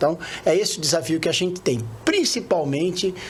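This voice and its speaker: Speech proceeds at a moderate pace and varies in pitch in an ordinary way. Background noise is noticeable throughout. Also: man. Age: 50s. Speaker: retired oil worker, union leader, candidate. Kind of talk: interview.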